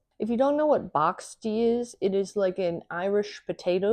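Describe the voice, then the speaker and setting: A woman's medium-pitched voice, animated in tone with lively intonation, at a fairly slow pace against a quiet background. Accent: American. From United States. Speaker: cooking video creator. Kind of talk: cooking show talk to camera. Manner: loud.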